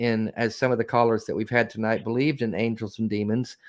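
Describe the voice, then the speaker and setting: A man speaks with a Southern US accent. His pitch sits in the medium range. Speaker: co-host of call-in show. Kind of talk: casual chat.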